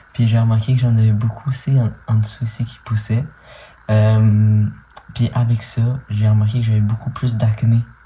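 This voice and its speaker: Over music in the background, a man at a medium pitch talks at a fairly slow pace with monotone, flat intonation. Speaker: vlogger. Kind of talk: video diary update. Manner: casual, hesitant with many fillers.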